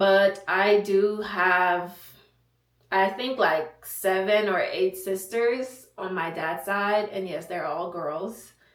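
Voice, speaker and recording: Audible room echo surrounds a woman who speaks very slowly at a medium pitch with fairly even intonation. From Haiti. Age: 20s. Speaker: content creator, soldier. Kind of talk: casual Q&A vlog. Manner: casual, chatty.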